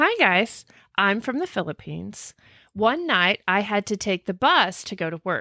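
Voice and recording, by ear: A natural voice, reading something aloud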